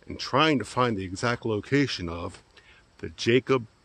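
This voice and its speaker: A man speaks here. His intonation is lively. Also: dry sound with no echo. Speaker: travel vlogger. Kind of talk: casual vlog chat. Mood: friendly, curious. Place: open country. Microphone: phone near.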